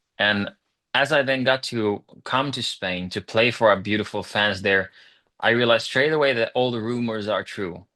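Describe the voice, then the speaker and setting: Bright, sharp tone from a man at medium pitch, ordinary pitch variation, moderate pace, quiet background. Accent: Swedish. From Finland, Swedish-speaking. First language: Swedish. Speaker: rock singer. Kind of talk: interview.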